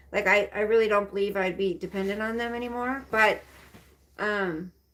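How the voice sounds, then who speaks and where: It is an ordinary speaking voice with fairly even intonation. The pace is moderate. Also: woman, medium pitch for a woman. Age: 50s. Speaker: livestreamer. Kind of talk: casual live stream chat. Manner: rambling with fillers.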